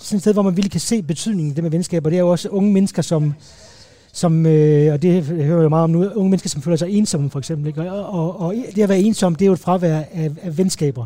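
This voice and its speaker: This man talks very fast in a high voice, with ordinary rise and fall in his pitch. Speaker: advertising creative. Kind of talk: casual chat. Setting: restaurant. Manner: halting, many repetitions.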